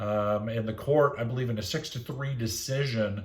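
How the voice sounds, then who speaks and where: In a room with audible echo, a man with a somewhat breathy voice speaks at medium pitch and a moderate pace with ordinary pitch variation. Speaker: teacher. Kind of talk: lecture. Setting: recorded lesson for online classroom. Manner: hesitant, many fillers.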